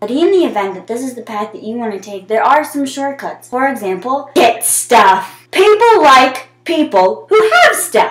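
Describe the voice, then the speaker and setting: A woman's high-pitched voice at a moderate pace, with hardly any pauses, very wide pitch swings and big swings in loudness. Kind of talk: comedic monologue to camera. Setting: bathroom, built-in mic.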